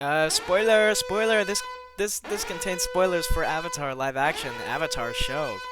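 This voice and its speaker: With music in the background, a man keeps to a moderate pace. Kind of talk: casual review commentary. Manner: casual, rambling.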